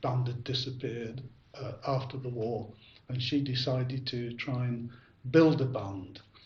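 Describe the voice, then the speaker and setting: A man with a medium-pitched, somewhat breathy voice talks at a moderate pace, with audible room echo around him. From northern England, Ashton-under-Lyne, Greater Manchester. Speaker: bell ringer. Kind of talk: interview. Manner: halting, many fillers.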